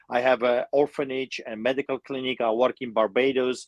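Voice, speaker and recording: A man with a non-native accent at a medium pitch and moderate pace, with fairly even intonation, a dry, close sound with no echo, and a quiet background. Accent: foreign. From immigrant to Canada from another country. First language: not English. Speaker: pastor. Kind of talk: interview. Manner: halting, many fillers.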